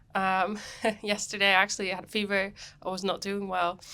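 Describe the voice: A woman's bright, sharp tone at medium pitch, with little pitch movement. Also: moderate pace.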